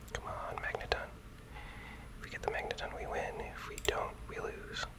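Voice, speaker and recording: Whispering at a moderate pace over noticeable background noise. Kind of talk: ASMR gameplay commentary. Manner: whispered.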